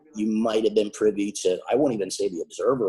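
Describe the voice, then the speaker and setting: With an Upper Michigan accent, a man talks at a fairly quick pace. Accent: Yooper accent (Upper Peninsula Michigan). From Upper Peninsula of Michigan (Ishpeming). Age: 50s. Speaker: wrestling manager. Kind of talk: interview. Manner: talkative.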